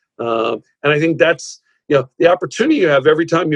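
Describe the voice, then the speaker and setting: With fairly even intonation, a man speaks in an American accent, recorded with a dry, close sound and no echo. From New York, Rockland County. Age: 60s. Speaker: executive search consultant, former tech CEO. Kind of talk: interview. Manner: halting, many fillers and repeated words.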